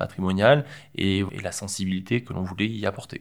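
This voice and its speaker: Moderate pace and fairly even intonation. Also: man. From Provence, southern France. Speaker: project manager for an art foundation. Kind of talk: interview. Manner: halting, with fillers and repetitions.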